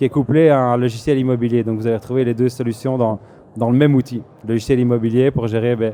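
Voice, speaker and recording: Dark and mellow in tone, a man speaks at medium pitch and a moderate pace. His intonation stays monotone and flat. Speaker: software company manager presenting at a trade fair. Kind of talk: business presentation. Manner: hesitant, many fillers and repetitions.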